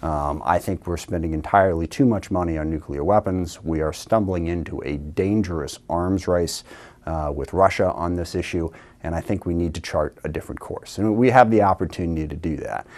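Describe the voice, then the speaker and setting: A man with a very deep, low pitch, ordinary pitch variation and a fairly quick pace. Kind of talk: recorded address to camera. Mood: earnest, policy argument. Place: studio. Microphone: lapel.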